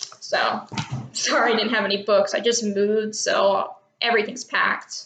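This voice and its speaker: The voice carries an American accent with monotone, flat intonation. Its loudness stays very even. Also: woman, fairly high pitch for a woman, moderate pace. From Texas. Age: young. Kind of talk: casual talk to camera.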